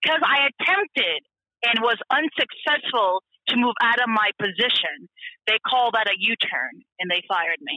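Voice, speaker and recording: This is an ordinary speaking voice, a woman's, with an American accent. Her pitch sits fairly high and her intonation is lively. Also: moderate pace. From South Florida. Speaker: truck driver. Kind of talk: casual interview.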